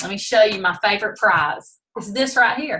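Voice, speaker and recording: A woman speaks in a plain, everyday voice. Her intonation is lively and her pace moderate. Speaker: direct sales consultant. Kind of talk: team training presentation. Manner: casual, many fillers.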